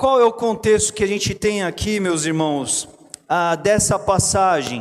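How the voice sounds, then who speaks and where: A man's high voice moves at a fairly slow tempo, its pitch rising and falling in an ordinary way. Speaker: pastor. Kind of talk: sermon.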